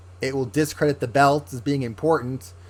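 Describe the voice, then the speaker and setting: Here is an ordinary speaking voice from a man at medium pitch, with ordinary pitch variation and a moderate pace. The recording is very clean, with a silent background. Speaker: wrestling podcast host. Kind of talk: casual commentary monologue.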